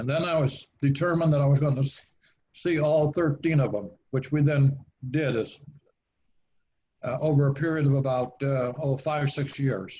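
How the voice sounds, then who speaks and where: A man speaks in a somewhat breathy voice with a dark, mellow tone. His intonation is fairly even, with long, frequent pauses. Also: fairly high pitch for a man, moderate pace. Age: 90s. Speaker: author. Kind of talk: interview. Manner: halting.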